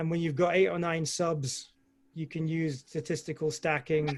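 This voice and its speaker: A man with a British accent, fairly high-pitched, at a moderate pace in a flat monotone. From Scotland. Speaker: amateur astrophotographer presenter. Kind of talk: Q&A answer in online talk. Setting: video call.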